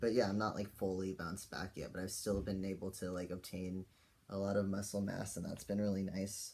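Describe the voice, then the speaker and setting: In monotone, flat intonation, a man speaks at a fairly low pitch. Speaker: vlogger. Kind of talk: personal video diary. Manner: casual, many fillers.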